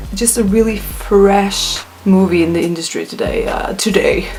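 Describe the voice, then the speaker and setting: Mumbling at a fairly slow pace with fairly even intonation, the speaker comes through noticeable background noise. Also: woman. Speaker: YouTuber, movie reviewer. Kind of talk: casual video review.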